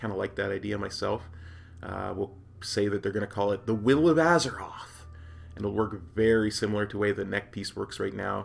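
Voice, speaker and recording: A man's fairly low, unremarkable speaking voice at a fairly quick pace with ordinary pitch variation. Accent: Canadian. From Canada, Alberta. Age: 40s. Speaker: gaming YouTuber and streamer. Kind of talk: casual talk to camera. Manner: upbeat.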